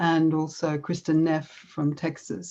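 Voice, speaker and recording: Very slowly, a woman with an Australian accent speaks at a fairly low pitch in a dark, mellow tone. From Australia, Melbourne. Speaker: conference speaker on yoga and self-compassion. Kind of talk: conference talk.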